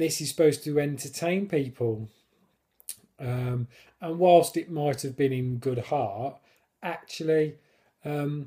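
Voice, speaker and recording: A man's very slow, somewhat breathy delivery in a dark, mellow tone, with a British accent. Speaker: person who stammers. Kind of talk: casual talk to camera. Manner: stammering, hesitant.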